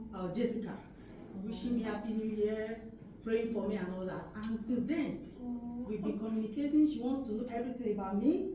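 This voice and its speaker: With audible room echo and noticeable background noise, a woman talks at a fairly quick pace in a fairly high voice with ordinary pitch variation. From Nigeria. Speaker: wedding guest, mother-in-law of the groom. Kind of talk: wedding toast.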